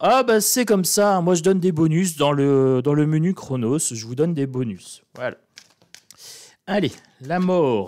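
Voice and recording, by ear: Speaking with a northern French accent at a fairly slow pace, this voice has a slightly mellow tone and lively intonation. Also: man, fairly high pitch for a man.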